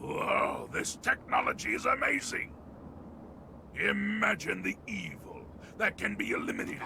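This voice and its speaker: A man talks in a put-on character voice at a moderate pace, with long, frequent pauses. Clear background noise is present. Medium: video game. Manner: formal, courteous.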